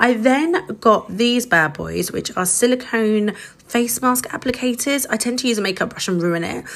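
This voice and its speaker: A woman with a British accent, lively intonation and a moderate pace, over noticeable background noise. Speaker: social media creator. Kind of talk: product review. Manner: casual, upbeat.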